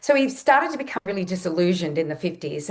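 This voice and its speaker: Talking at a very fast pace, a woman with an Australian accent swings her pitch very widely. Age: 60s. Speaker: nutritionist and health educator. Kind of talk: podcast interview.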